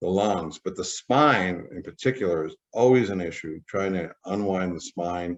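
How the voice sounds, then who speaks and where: Fairly low in pitch, the man has an ordinary speaking voice. His rate is moderate, and his pitch varies in an ordinary way. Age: 60s. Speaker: saxophone player and holistic health practitioner. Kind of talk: casual tutorial talk to camera.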